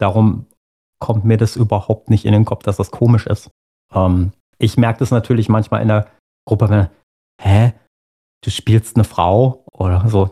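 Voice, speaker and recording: A man speaks at a moderate pace with a fairly low pitch, a dark, mellow tone, somewhat breathy delivery and monotone, flat intonation. He takes long, frequent pauses, and the sound is dry and close with no echo. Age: 40s. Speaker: musician and role-player. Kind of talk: casual interview chat.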